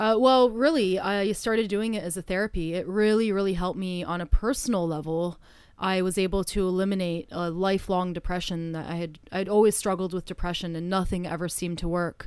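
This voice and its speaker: A woman with a Canadian accent and an ordinary speaking voice, medium pitch, fairly even intonation, a fairly quick pace and hardly any pauses. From Canada. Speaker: stage hypnotist. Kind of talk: interview conversation.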